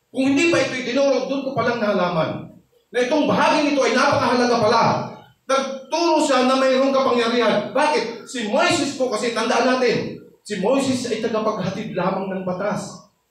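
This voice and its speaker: Audible room echo surrounds a man speaking in an animated tone at a fairly quick pace, his pitch extremely high with ordinary variation. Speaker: pastor. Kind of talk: sermon. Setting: church. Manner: loud when teaching.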